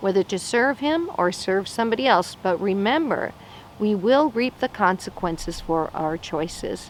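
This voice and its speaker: Lively intonation from a woman against noticeable background noise. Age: 60s. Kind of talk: short sermon. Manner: conversational.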